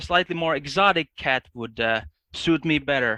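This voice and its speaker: In a Finnish accent, a man speaks at a fairly high pitch with ordinary pitch variation. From Finland. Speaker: linguist. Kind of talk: casual chat. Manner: halting.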